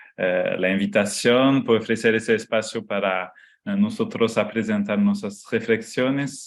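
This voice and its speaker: Speaking very slowly, a man at a medium pitch shows ordinary pitch variation. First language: not Spanish (speaking Spanish). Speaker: architecture professor and researcher. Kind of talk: lecture. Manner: halting, many fillers.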